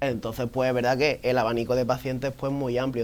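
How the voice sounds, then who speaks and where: Delivered at a very fast pace, the speech has monotone, flat intonation. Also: man. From southern Spain, Fuengirola (Málaga). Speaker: podiatrist. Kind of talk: TV interview.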